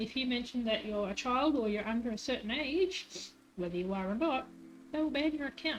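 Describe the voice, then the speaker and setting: Music plays in the background as the speaker goes at a fairly quick pace with lively intonation. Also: woman, high pitch for a woman. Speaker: streamer. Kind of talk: casual chat.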